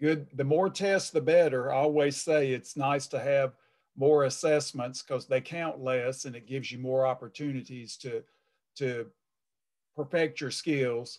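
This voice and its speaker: The background is quiet as a man talks at a fairly slow pace. His intonation stays fairly even. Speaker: college math instructor. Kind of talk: lecture. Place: home room. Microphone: webcam.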